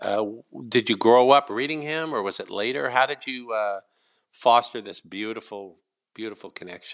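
With an ordinary speaking voice, a man at medium pitch and ordinary pitch variation talks at a moderate pace with big swings in loudness on a very clean recording with a silent background. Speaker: podcast host. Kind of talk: casual interview. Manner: warm, emotional, effusive.

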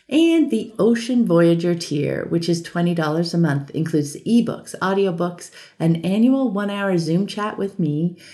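A woman with a fairly low, dark and mellow voice speaks at a fairly slow pace with lively intonation over a quiet background. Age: 50s. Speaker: podcast host and online creator. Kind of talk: monologue audio update.

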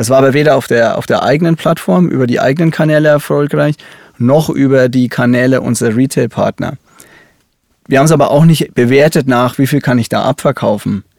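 A man speaks at medium pitch and a fairly quick pace, with ordinary pitch variation, in a Franconian accent. The sound is dry and close, with no echo. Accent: Franconian, rolled R. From Upper Franconia, Germany (near Kulmbach). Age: 30s. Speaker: cosmetics company digital executive. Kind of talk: interview. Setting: studio.

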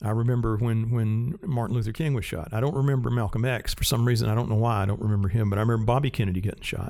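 Using a Southern US accent, a man speaks at a very fast pace with hardly any pauses. His pitch is medium, with ordinary variation. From US South, rural South Carolina. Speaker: cinematographer and Steadicam operator. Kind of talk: interview.

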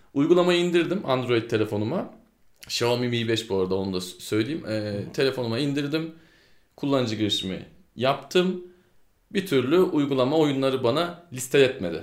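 A man speaks with lively intonation. There is audible room echo. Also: medium pitch for a man, moderate pace. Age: 20s. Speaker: gaming podcast co-host. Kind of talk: casual chat.

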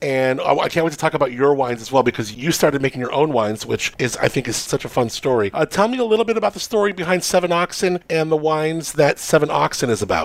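A man speaks at a very fast pace with hardly any pauses, his pitch fairly high. His intonation is lively and his tone animated. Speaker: wine podcast host. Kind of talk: casual interview chat. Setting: on location in a bar.

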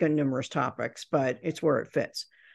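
A woman's very deep, low voice with vocal fry, flat monotone intonation and a fairly quick pace over a quiet background. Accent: American. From Indiana, US Midwest. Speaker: professional speaker and business author. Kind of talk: interview.

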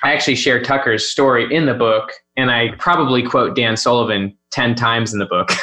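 Talking at a fairly quick pace, a man uses an ordinary speaking voice at medium pitch, with fairly even intonation and very even loudness. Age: 30s. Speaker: author. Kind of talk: casual chat.

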